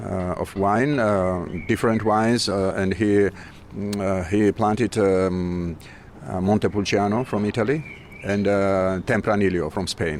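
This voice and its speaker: Here a man with a Georgian accent speaks at a fairly low pitch. His intonation is fairly even, and his pace is fairly slow. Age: 50s. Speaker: musician and aspiring winemaker. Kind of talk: interview. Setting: wine festival. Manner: halting.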